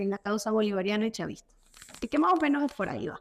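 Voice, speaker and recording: A woman with a Caracas accent speaks at a fairly high pitch. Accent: Venezuelan Spanish (Caracas). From Venezuela, Caracas. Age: 30s. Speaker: political activist. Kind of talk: interview.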